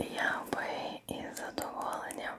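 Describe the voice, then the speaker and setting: A soft-spoken woman whispering at a very slow pace amid noticeable background noise. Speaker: ASMR creator. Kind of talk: soft-spoken ASMR roleplay. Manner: soft intimate ASMR whisper. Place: home room.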